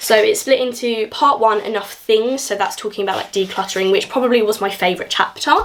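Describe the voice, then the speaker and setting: Against noticeable background noise, a woman with a southern English accent speaks at a fairly quick pace with ordinary pitch variation. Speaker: book YouTuber. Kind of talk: casual vlog book review. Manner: fast.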